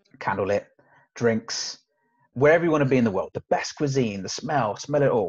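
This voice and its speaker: A man talks at a fairly quick pace in a fairly high pitch with lively intonation. His voice is somewhat breathy, and the background is quiet. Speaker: sales trainer. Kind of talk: casual interview chat. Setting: video call. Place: office. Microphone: video call.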